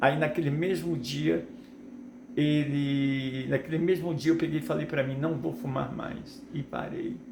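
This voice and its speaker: Over noticeable background noise and audible room echo, a fairly high-pitched man speaks fairly slowly with lively intonation. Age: 60s. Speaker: preacher. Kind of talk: sermon. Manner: halting, with repetitions.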